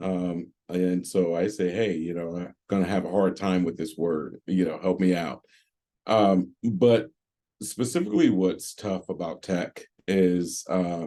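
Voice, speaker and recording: Very deep, low pitch from a man, dark and mellow in tone, with fairly even intonation at a fairly slow pace. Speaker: tech panelist. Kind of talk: panel discussion. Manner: careful articulation.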